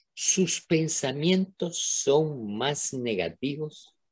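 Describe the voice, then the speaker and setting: A man's fairly high, somewhat breathy voice with very wide pitch swings. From Venezuela. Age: old. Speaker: retired professor and neuroscientist. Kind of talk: interview. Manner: animated.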